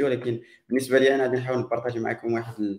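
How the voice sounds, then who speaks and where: A man rattles along at a very fast pace in a medium pitch. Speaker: tech podcast host. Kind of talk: live podcast panel chat.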